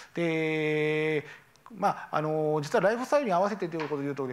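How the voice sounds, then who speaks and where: A normal speaking voice at a fairly quick pace. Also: man. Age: 40s. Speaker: company founder; presenter. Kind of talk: startup pitch. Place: hall. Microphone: lapel.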